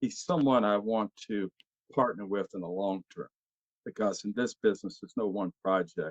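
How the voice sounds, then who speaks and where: A man's fairly low voice at a moderate pace, ordinary pitch variation, and a dry, close sound with no echo. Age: 60s. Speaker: actor. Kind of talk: casual chat. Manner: halting.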